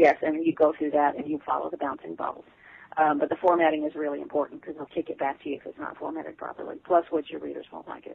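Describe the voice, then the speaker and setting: A woman talks at a very fast pace with big swings in loudness. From Texas and Arkansas Ozarks. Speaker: author. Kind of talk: interview, casual chat.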